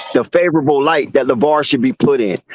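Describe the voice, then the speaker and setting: In a dry, close sound with no echo, a man with a fairly high voice speaks in an animated tone with lively intonation. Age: 50s. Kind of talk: heated debate.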